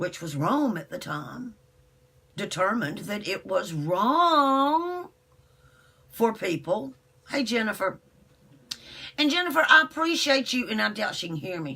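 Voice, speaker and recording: The voice has a bright, sharp tone with vocal fry, very wide pitch swings and big swings in loudness. It moves at a fairly slow pace, broken by long, frequent pauses. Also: woman, fairly high pitch for a woman. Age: 60s. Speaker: internet radio host. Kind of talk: live stream monologue. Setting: live video broadcast. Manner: animated.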